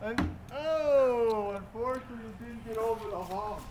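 A man's extremely high voice at a fairly slow pace, over noticeable background noise. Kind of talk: sports commentary on a golf tournament, playful and joking. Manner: animated, reacting excitedly with exclamations; laughs often, teasing and casual. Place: garden. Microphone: phone near.

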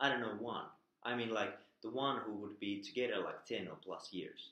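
Speaking at a moderate pace with fairly even intonation, a man talks in a Finnish accent. The background is quiet, though room echo is audible. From Finland. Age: 30s. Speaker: vlogger. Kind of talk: casual talk to camera. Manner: hesitant. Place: home room. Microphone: webcam.

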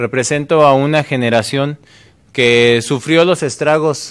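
A man at a fairly slow pace, with fairly even intonation. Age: 30s. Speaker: mayoral candidate; candidate. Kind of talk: political debate. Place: studio. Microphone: podium.

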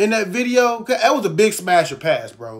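The speaker is a man. His voice is high in pitch. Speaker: commentary vlogger. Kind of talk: casual vlog commentary. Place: home room. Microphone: phone near.

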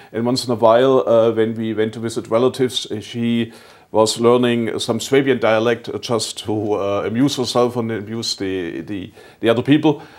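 A man speaks with a German accent at a moderate pace, his intonation fairly even. The background is quiet. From southwestern Germany. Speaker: German-American association representative. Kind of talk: TV interview. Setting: TV studio. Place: studio. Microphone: lapel.

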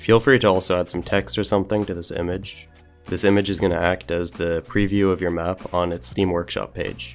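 Over music in the background, a man with a very deep, low pitch talks at a fairly quick pace with ordinary pitch variation. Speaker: game developer. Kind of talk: software tutorial narration.

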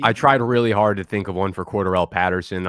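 A man with an American accent talks at a very fast pace with fairly even intonation. The sound is dry with no echo, and the background is quiet. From New Jersey. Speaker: fantasy football content creator. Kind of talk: casual chat. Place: home room. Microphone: studio mic.

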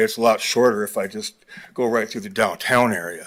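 A man's fairly low voice at a fairly quick pace, on a very clean recording with a silent background. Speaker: member of the public giving comment. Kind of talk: public comment. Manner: halting, many fillers.

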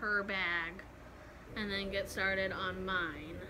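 Her intonation stays fairly even as a woman speaks. There is noticeable background noise. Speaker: expectant mother vlogger. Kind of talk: casual vlog chat. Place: home room. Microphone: phone near.

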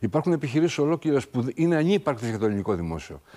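Very wide pitch swings run through what this man says. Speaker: mayoral candidate; candidate. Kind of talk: political interview. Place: studio. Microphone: lapel.

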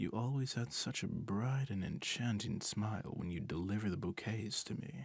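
Speaking at a moderate pace, a man uses a fairly low, somewhat breathy voice with lively intonation. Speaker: ASMR roleplay performer. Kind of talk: asmr roleplay, scripted. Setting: close-mic ASMR recording.

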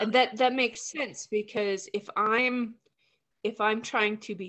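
Quiet surroundings frame a woman's speech. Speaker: workshop participant. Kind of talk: casual group conversation. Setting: video call. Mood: reflective, thoughtful. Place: home room. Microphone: video call.

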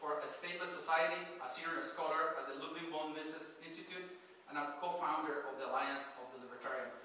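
Talking very fast with fairly even intonation, a man with a high voice is heard over light background noise in a room with strong echo. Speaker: event host introducing the speaker. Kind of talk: speaker introduction. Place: hall.

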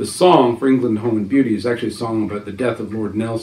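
An unforced reading voice comes through. The intonation stays fairly even.

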